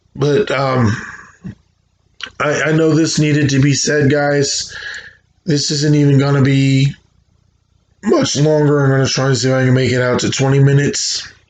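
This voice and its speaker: The voice moves at a moderate pace with fairly even intonation and very even loudness, broken by long, frequent pauses. Audible room echo surrounds it. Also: man, fairly high pitch for a man. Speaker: video blogger. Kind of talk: personal vlog monologue. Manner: halting, repeats words.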